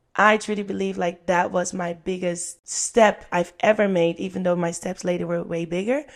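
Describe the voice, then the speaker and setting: In a Dutch accent, a woman talks at a moderate pace with hardly any pauses, using fairly even intonation at a fairly low pitch. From Netherlands. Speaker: podcast guest, former cruise ship performer. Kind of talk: casual interview.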